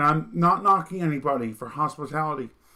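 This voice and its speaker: A man with a slight Vermont accent speaks at a fairly high pitch in a bright, sharp tone. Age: 30s. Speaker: political commentary streamer. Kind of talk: monologue commentary.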